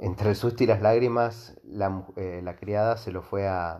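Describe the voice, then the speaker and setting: Using a fairly low pitch, a man speaks at a fairly slow pace with a monotone, flat intonation. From Argentina, Mendoza. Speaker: history podcaster. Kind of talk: storytelling monologue. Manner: halting, many fillers and repetitions.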